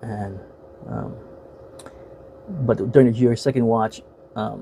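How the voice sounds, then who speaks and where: Over noticeable background noise, someone with an American accent speaks at a very slow pace with ordinary pitch variation. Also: man, medium pitch for a man. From United States. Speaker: YouTuber and movie reviewer. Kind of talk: casual video monologue, film review. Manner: halting, many fillers and repeats.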